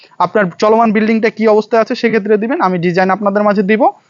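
The man speaks with fairly even intonation. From Bangladesh, Rajshahi. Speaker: building design contractor. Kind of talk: promotional vlog to camera. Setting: on-site at finished building.

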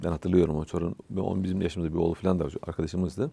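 A man with a very deep, low voice talks at a very fast pace in a dark, mellow tone. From Bulgaria, Tırnava region; Bulgaria. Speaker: religious scholar; interview guest. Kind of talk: casual chat. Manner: halting. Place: studio. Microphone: lapel.

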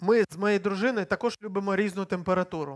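A man speaks at a moderate pace in a high pitch. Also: quiet background. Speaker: preacher. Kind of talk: sermon. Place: church. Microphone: headset.

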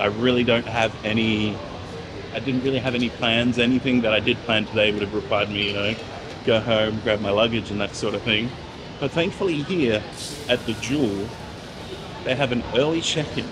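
Noticeable background noise fills the recording. Over it, a man speaks fairly quickly, his pitch varying in an ordinary way. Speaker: travel vlogger. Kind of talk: casual vlog chat. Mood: relaxed, upbeat. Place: station. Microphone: phone near.

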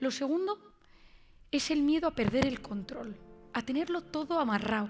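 Faint music plays in the background as a woman speaks at a moderate pace in a high-pitched voice. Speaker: conference speaker. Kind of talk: motivational talk. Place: stage. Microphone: headset.

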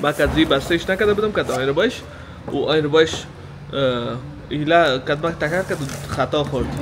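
With noticeable background noise, the voice moves at a very fast pace. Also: man. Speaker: vlogger. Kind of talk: casual vlog chat. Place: garage. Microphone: phone near.

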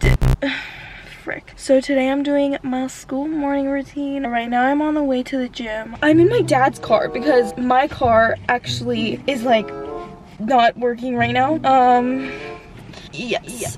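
Against clear background music, a woman with a high pitch speaks at a fairly slow pace with fairly even intonation, the sound dry with no echo. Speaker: vlogger. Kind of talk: casual vlog chat. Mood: a bit nervous. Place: car. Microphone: phone near.

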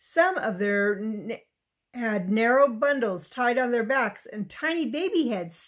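An unforced reading voice carries lively intonation. The background is quiet.

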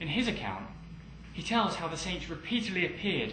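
Background noise is noticeable behind a man's voice. His pitch swings very widely. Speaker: documentary narrator. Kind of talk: documentary narration, scripted and read aloud. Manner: formal, measured, even-paced, authoritative.

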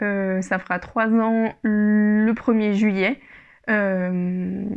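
A woman talks with fairly even intonation over a quiet background. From Spain. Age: 20s. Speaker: yarn shop owner and knitting podcaster. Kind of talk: casual solo podcast monologue. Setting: home recording with microphone. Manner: hesitant, many fillers. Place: home room. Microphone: lapel.

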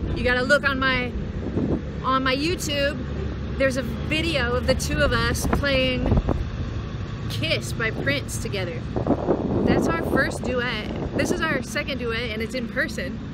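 With loud background noise but a dry sound with no echo, a woman speaks fairly slowly with long, frequent pauses. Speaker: musician vlogger. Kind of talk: casual vlog chat. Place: street. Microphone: phone near.

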